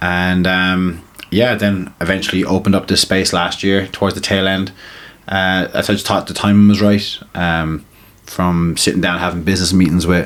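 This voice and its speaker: Flat, monotone intonation with a slight Limerick accent. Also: man, very deep, low pitch for a man, moderate pace. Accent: Limerick Irish, slight. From Ireland, Limerick. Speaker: tattoo artist and crossover boxer. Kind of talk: podcast interview. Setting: tattoo studio.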